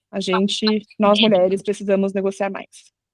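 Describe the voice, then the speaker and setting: A woman at a medium pitch in a monotone, flat intonation against a quiet background. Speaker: product marketing manager. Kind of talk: live webinar talk.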